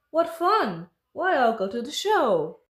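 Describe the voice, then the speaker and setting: A woman puts on a character voice with a high pitch and very wide pitch swings. She speaks at a fairly slow pace. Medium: read story.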